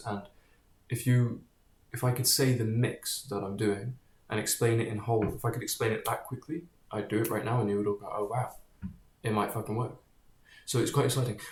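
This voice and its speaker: This man's voice sits at medium pitch and sounds somewhat breathy. His intonation stays fairly even. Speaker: vlogger. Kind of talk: casual monologue. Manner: halting, with repetitions and fillers; rushed.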